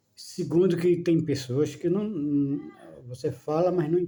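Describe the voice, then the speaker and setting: A man's somewhat breathy voice carries a dark, mellow tone. He moves at a very slow pace with ordinary pitch variation. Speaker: spiritual video talker. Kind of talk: casual monologue on spirituality. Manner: slow, measured; halting, repetitive fillers.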